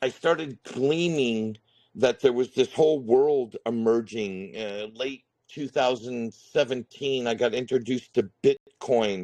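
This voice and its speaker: In an American accent, a man of medium pitch speaks very slowly with ordinary pitch variation, the sound dry and close with no echo. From US West (Northern California). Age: 50s. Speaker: retired contractor, crypto YouTuber. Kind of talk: interview.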